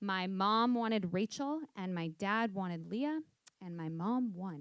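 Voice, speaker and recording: Speaking very slowly, a woman with an American accent uses lively intonation. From US, New York City. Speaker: software company founder, fitness instructor. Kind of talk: panel discussion. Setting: stage with audience.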